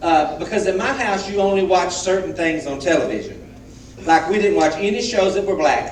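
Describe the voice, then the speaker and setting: A man's high-pitched voice with a Southern US accent and ordinary pitch variation, amid audible room echo and noticeable background noise. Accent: southern drawl. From US South, Alabama. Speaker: guest speaker. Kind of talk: testimony.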